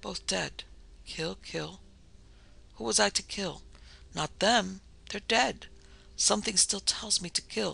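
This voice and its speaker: Whispering in a hoarse, put-on character voice, a man speaks at a fairly slow pace with long, frequent pauses. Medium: read story. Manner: dazed, mumbling, frightened.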